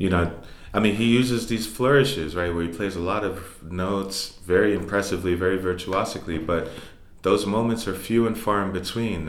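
A man with an American accent speaks at a moderate pace with ordinary pitch variation. Audible room echo surrounds his voice. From New York City (Harlem and the Bronx). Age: 30s. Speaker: jazz musician and professor. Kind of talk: interview. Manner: halting.

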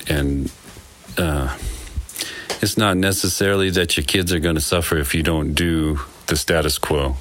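Delivery is at a moderate pace, with fairly even intonation and very even loudness. Long, frequent pauses break it up against noticeable background noise. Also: man. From Wyoming. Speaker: nonprofit founder and father. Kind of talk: interview.

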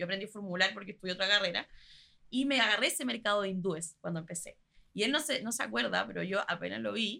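A woman races along at a very fast pace in a Chilean accent, her medium pitch carrying lively intonation. Her tone is bright and sharp, with vocal fry. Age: 20s. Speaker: pastry chef and entrepreneur. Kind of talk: interview.

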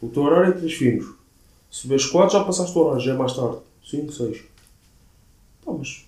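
Audible room echo surrounds a man with a fairly high pitch and a somewhat breathy voice. He leaves long, frequent pauses and uses ordinary pitch variation. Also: fairly quick pace. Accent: European Portuguese. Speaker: podcast co-host. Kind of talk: casual chat.

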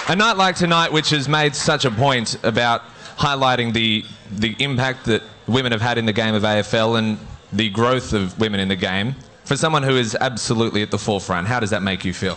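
Noticeable background noise surrounds a man's voice. He talks at a fairly quick pace with very even loudness. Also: medium pitch for a man, ordinary pitch variation. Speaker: awards night MC. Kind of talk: live awards-night MC announcing on stage, formal with audience applause cues. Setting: stage with audience.

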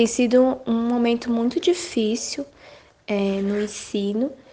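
Against a quiet background, a woman uses a normal speaking voice at a fairly high pitch, speaking at a fairly slow pace with fairly even intonation. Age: 20s. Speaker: literacy educator. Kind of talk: interview.

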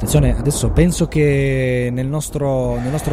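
A man speaks at a medium pitch with ordinary pitch variation and a fairly quick pace. Noticeable background noise runs behind him. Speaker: podcast co-host. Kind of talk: casual comedic banter with skits.

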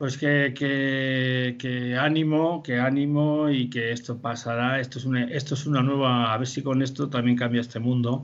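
In a monotone voice with flat intonation, a man speaks at a medium pitch. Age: 60s. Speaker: puppet festival director. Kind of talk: interview. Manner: halting.

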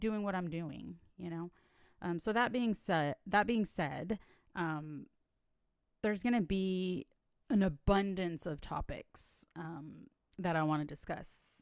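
A woman speaks with an unremarkable speaking voice, fairly low in pitch with ordinary pitch variation, at a fairly slow pace. The recording is very clean with a silent background. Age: 30s. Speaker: podcast host. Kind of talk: personal monologue. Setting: home recording. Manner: casual, lots of fillers.

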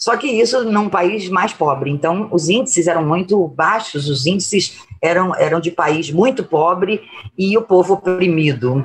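Music plays in the background as the speaker goes at a fairly slow pace with lively intonation. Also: woman, medium pitch for a woman. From Brazil. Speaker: solidarity activist. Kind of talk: interview.

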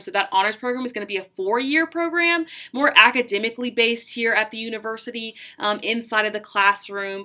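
A woman's bright, sharp tone at a fairly high pitch, on a very clean recording with a silent background. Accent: American. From US South, Charleston, South Carolina. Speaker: student tour guide. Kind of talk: guided campus tour narration. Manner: animated, frequent fillers.

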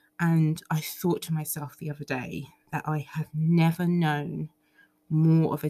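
A woman speaks very slowly with a very deep, low pitch and a somewhat breathy voice. The sound is dry and close, with no echo. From England, Ugandan heritage. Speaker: solo podcaster. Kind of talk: casual monologue. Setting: recording at home. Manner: animated.

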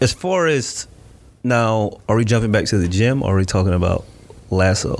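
A man speaks at a moderate pace in an American accent, with an ordinary speaking voice. His intonation is lively and his loudness stays very even. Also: medium pitch for a man. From Florida. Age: 30s. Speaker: gym owner and marketing entrepreneur. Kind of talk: casual interview.

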